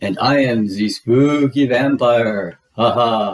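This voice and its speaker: In a put-on character voice, this man talks very slowly, his pitch sitting in the middle range. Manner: spooky.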